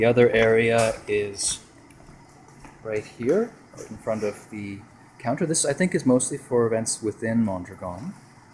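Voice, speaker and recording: Light background noise sits behind a quiet male voice. He speaks at a fairly slow pace. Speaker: co-op member giving a building tour. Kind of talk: casual walking video tour narration. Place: hall. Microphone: phone near.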